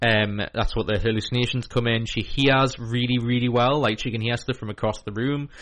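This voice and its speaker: Speaking at a fairly quick pace with hardly any pauses, a man holds a medium pitch in a monotone, flat intonation. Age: 30s. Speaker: community radio host of a mental health show. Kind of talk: casual radio chat. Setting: radio studio.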